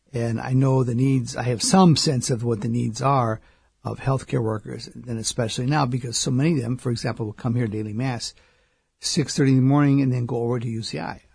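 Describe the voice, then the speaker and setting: A man speaks at a fairly quick pace with fairly even intonation. His voice is somewhat breathy, against a quiet background. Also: medium pitch for a man. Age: 60s. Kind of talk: radio interview.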